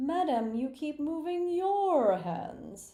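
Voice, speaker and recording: Using a put-on character voice, the speaker talks at a very slow pace in a high pitch. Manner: polite, instructing.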